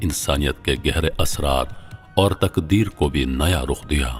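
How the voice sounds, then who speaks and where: Over music in the background, a man talks in a very deep, low voice with ordinary pitch variation. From Pakistan. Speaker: voice over artist. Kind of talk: documentary narration.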